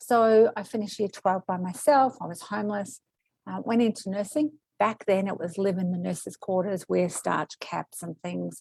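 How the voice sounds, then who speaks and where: A woman with an Australian accent, in a dry, close sound with no echo. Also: medium pitch for a woman, ordinary pitch variation, moderate pace. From Australia, arrived from Kuwait at age five. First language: Arabic or Greek. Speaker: medical intuitive, former nurse. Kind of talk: interview.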